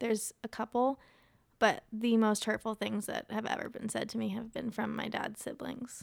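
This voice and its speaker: A woman speaks in an American accent with vocal fry and a flat, monotone delivery. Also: fairly high pitch for a woman, moderate pace. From Ohio. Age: 20s. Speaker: grieving guest sharing her story. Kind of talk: casual interview about grief.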